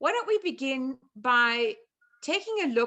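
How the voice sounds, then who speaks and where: A woman talks with a South African accent. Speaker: chef and nutrition therapist. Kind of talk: online presentation. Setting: video call.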